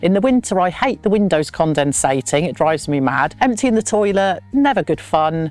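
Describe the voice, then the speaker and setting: Speaking in an English accent, a woman with a fairly low pitch swings very widely in pitch. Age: 60s. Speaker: van dweller. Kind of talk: casual chat.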